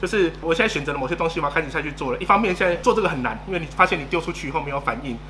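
Through noticeable background noise, a man with a fairly high pitch rushes along at a very fast pace with hardly any pauses and ordinary pitch variation. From Taiwan. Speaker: marketing consultant. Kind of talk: interview.

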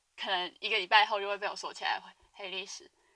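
The tone is bright and sharp. The pace is very fast. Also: woman. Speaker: podcast host. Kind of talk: casual monologue. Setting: dorm room, alone. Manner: rambling fast talk.

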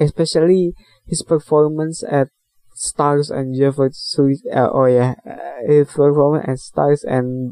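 In an Indonesian accent, a man speaks at a very slow pace with a dark, mellow tone and fairly even intonation, the sound dry and close with no echo. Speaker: podcast host, movie and book reviewer. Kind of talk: casual solo podcast monologue reviewing a film. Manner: halting, hesitant with many fillers; apologetic about English, laughs often.

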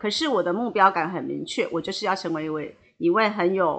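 Her lively intonation and fairly quick pace mark this woman's medium-pitched voice. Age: 50s. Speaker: hairdresser and salon owner. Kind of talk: interview. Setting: podcast recording. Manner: fluent.

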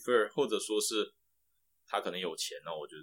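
A fairly quick pace carries the speech. The voice belongs to a man. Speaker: applied scientist, former semiconductor engineer. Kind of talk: casual interview.

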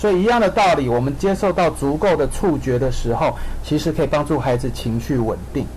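A man speaks at a fairly quick pace with very even loudness. Audible room echo and noticeable background noise fill the recording. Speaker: occupational therapist. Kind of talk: radio interview. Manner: hesitant with many fillers.

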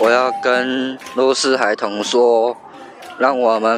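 Over noticeable background noise, a man speaks very slowly at medium pitch. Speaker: university student and street performer. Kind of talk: interview.

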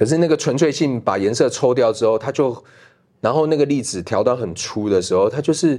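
A man's vocal fry at a moderate pace, with very wide pitch swings. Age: middle-aged. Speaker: documentary director. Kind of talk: casual interview. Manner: halting.

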